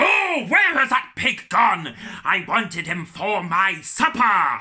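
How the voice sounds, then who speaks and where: Putting on a theatrical character voice, a man speaks at a fairly slow pace in a high pitch. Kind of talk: children's storytime acting. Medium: read story. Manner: sly, theatrical menace.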